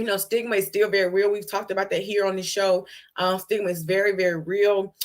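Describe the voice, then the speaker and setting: A woman talks at a very fast pace in an American accent. Her intonation is monotone and flat. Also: medium pitch for a woman. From US South, Georgia. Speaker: HIV advocate and nonprofit host. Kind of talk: educational talk on live show. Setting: livestream. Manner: casual, conversational.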